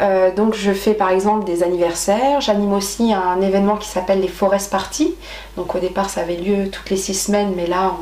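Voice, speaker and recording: A woman speaks fairly quickly in a flat monotone at a medium pitch, with audible room echo and noticeable background noise. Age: 30s. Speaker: nature activity leader. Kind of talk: interview. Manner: hesitant, many fillers.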